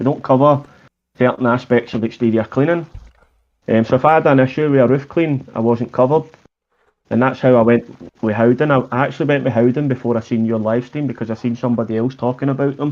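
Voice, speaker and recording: A man with a Scottish accent, talking at a very fast pace with fairly even intonation. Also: medium pitch for a man. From Scotland. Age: 30s. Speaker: pressure washing business owner. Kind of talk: casual chat.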